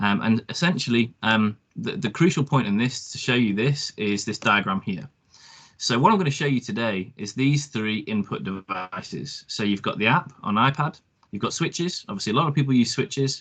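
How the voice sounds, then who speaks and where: A man speaks at a moderate pace with a British accent. His medium-pitched voice carries lively intonation. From UK. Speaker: product presenter. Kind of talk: webinar product demo. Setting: online webinar. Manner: hesitant, many ums.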